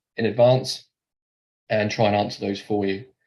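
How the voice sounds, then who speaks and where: Fairly quick, flat, monotone delivery in a Norfolk accent, against a quiet background. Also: man. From England, Norfolk. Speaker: mortgage lender account manager. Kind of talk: webinar presentation. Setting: online webinar. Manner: fast; hesitant, many fillers.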